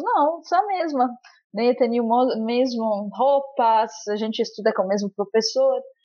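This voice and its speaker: Her voice is high-pitched. The woman keeps to a moderate pace. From Lebanon. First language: Arabic (speaking Portuguese). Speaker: stateless rights activist. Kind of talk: testimony. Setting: remote call.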